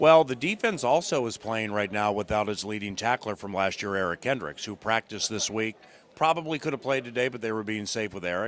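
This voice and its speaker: A man's unremarkable speaking voice, fairly low-pitched, at a fairly quick pace with ordinary pitch variation. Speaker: radio play-by-play announcer. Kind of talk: post-game locker room interview answer. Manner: conversational, casual.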